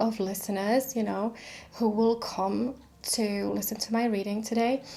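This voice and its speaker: This woman has a dark, mellow tone and a fairly high pitch, talking at a fairly slow pace with fairly even intonation. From Czechoslovakia. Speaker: tarot reader. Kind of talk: tarot reading intro. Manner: hesitant, many fillers.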